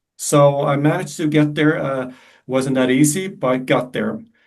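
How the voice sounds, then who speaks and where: With a slight American accent, a man talks at a fairly slow pace in a fairly high pitch. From Sweden, Malmö. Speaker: performance coach. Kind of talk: live webinar talk.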